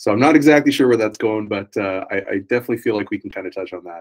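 This man has a normal speaking voice with a fairly low pitch. His intonation stays fairly even. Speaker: podcast host. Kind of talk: casual interview chat.

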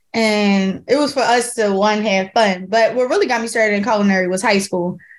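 A woman with a Philadelphia accent talks at a very fast pace, her intonation fairly even. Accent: Philadelphia, noticeable. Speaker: chef. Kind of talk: casual interview.

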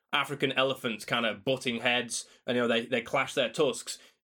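In a Yorkshire accent, the speaker talks at a fairly quick pace with a bright, sharp tone. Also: man. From South Yorkshire, England (Doncaster). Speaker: paleontologist and author. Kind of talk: interview. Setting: remote call.

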